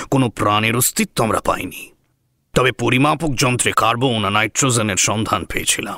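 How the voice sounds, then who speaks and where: A man puts on a character voice at medium pitch. He speaks at a moderate pace. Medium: audio drama. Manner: measured, explanatory.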